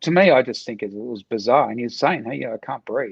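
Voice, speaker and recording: Lively intonation in an Australian accent at a fairly quick pace, with a dry, close sound and no echo. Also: man. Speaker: martial arts coach, ex-soldier. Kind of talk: casual chat.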